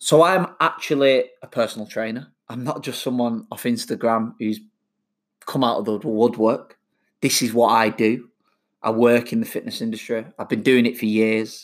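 Someone with a Mancunian accent speaks at a moderate pace with fairly even intonation on a very clean recording with a silent background. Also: man, medium pitch for a man. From Manchester, England. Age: 30s. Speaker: personal trainer podcaster. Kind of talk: solo podcast monologue. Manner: casual, laughing.

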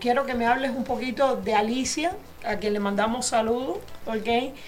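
Amid noticeable background noise and audible room echo, a woman speaks at a moderate pace in a high voice with ordinary pitch variation. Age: 60s. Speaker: radio host and insurance agent. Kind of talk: insurance info segment; casual interview.

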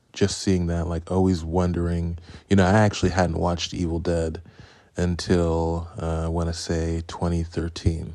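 Very deep and low in pitch, a man speaks at a moderate pace with a dark, mellow tone and monotone, flat intonation. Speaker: podcast host reviewing horror films. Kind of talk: casual solo monologue, film review.

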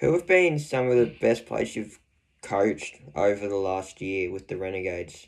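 A man with an Australian accent speaks at a moderate pace in a fairly low voice, his intonation lively against a quiet background. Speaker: podcast host. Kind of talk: interview.

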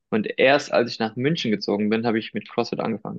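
Speaking at a very fast pace, a man uses a medium-pitched voice. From Germany, Heidelberg, Spanish family. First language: Spanish (speaking German). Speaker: sports commentator. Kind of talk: casual chat.

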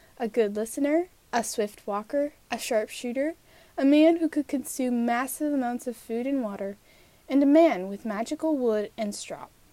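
A woman speaks at a moderate pace with a high pitch and ordinary pitch variation. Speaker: podcast storyteller. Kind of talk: fairy-tale storytelling narration. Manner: measured, storyteller's pace with wry, dry asides.

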